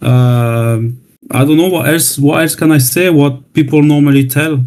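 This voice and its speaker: In a French accent, the speech moves at a fairly slow pace with fairly even intonation. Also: man, fairly high pitch for a man. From France. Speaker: new community member. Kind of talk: self-introduction. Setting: online voice chat room. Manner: hesitant, repeating words. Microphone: new laptop.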